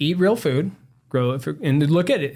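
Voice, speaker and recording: Speaking at a fairly quick pace with an American accent, a man is heard on a very clean recording with a silent background. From Southern California, San Diego. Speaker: doctor, health podcast co-host. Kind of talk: casual chat. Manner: fast.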